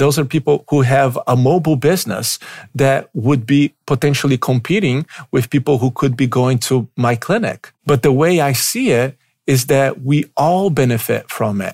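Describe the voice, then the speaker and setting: A man with a Brazilian accent speaks at a moderate pace in a somewhat breathy voice with very even loudness, on a very clean recording with a silent background. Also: fairly high pitch for a man, ordinary pitch variation. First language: Portuguese. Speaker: physical therapist and business mentor. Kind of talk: solo podcast monologue. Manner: animated.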